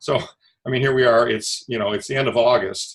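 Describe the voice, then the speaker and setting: Someone talks at a very fast pace with an American accent. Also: man. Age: 60s. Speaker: investment fund manager. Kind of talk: interview. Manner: hesitant, many fillers.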